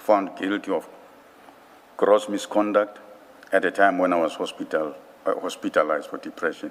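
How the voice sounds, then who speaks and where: A man talks at a moderate pace. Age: 60s. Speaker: witness at an inquiry. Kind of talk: testimony. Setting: commission hearing. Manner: formal.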